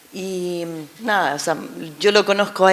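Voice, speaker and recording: There is noticeable background noise. A woman talks over it at a fairly low pitch. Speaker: former surrogate mother. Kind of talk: personal testimony. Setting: public panel event. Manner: halting, many fillers.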